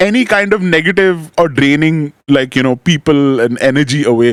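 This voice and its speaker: A man is speaking. The sound is dry and close, without any echo. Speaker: talk show host. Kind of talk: casual interview chat.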